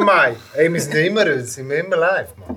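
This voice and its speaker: A man's raised, projected voice. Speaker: rapper. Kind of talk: casual chat.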